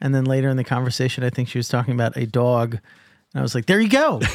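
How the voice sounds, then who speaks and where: This man speaks with an American accent at a medium pitch. The recording is very clean, with a silent background. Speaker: podcast host, crypto journalist. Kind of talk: interview. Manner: slow.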